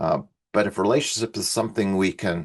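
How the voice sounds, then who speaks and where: Against a quiet background, a man speaks in a fairly low voice with fairly even intonation. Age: 60s. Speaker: researcher presenting on well-being. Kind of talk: conference presentation. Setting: online event. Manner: halting, with fillers.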